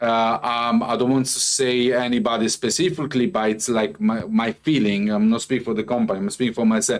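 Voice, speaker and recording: A man's medium-pitched voice with a non-native accent, at a fairly quick pace with hardly any pauses and ordinary pitch variation. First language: not English. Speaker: crypto company executive presenting updates. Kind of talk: live company update presentation. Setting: livestream with chat. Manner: halting, many fillers.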